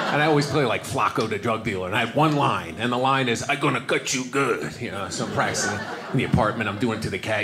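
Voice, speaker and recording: Loud background noise under a man with an American accent talking at a very fast pace. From New York. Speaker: stand-up comedian. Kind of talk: stand-up comedy routine to a live audience. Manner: conversational, storytelling, fast-paced. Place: stage. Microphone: handheld.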